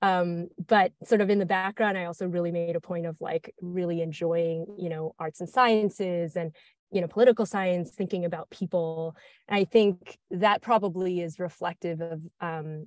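The speech comes at a moderate pace with fairly even intonation, a dry sound with no echo, and a quiet background. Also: woman, fairly low pitch for a woman. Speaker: guest. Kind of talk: interview answer. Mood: friendly, smiling. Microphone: earbuds.

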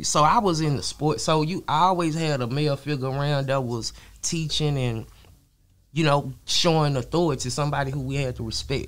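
A man talks in a fairly high voice with ordinary pitch variation. His pace is fairly quick. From Dallas, Texas. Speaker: rapper. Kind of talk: casual interview. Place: studio. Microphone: studio mic.

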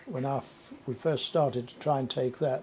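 A man speaks in a Cumbrian accent, his voice somewhat breathy. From Carlisle, England. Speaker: war veteran. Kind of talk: interview answer. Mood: reflective, recalling memories. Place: home room.

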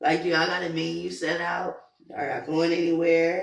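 Little pitch movement, vocal fry and audible room echo. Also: woman.

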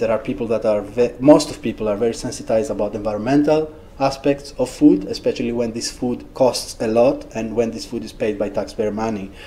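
Light background noise sits behind a man with a Greek accent who talks at a moderate pace with fairly even intonation. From Greece. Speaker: researcher and social entrepreneur; presenter. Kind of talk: talk with questions. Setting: seminar room with audience. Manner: halting. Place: classroom.

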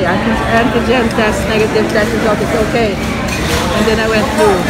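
At a moderate pace, a woman talks over loud background noise. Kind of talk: casual conversation. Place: cafe. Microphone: phone near.

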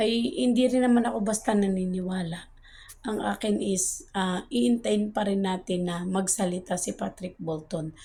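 A soft-spoken, somewhat breathy woman at medium pitch, at a moderate pace with ordinary pitch variation, in a very clean recording with a silent background. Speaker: vlogger. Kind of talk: casual monologue update. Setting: outdoors at the back, filming while waiting.

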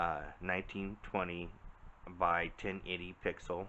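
Light background noise can be heard. The intonation stays flat and monotone. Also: man. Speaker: vlogger reviewing a camera. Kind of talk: casual vlog chat. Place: home room. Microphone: phone near.

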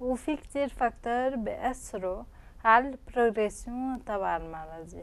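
Speaking at a fairly quick pace, a woman has a fairly high pitch and ordinary pitch variation.

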